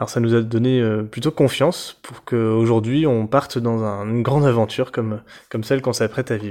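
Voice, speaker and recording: A man's dark, mellow tone at medium pitch, fairly quick pace and fairly even intonation, quiet background. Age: 30s. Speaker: travel podcaster, engineer. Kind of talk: casual self-introduction. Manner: halting, with many fillers.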